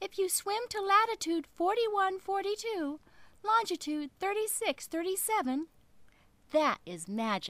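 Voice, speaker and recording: A woman's put-on character voice climbs to an extremely high pitch while she keeps a moderate pace. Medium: read story.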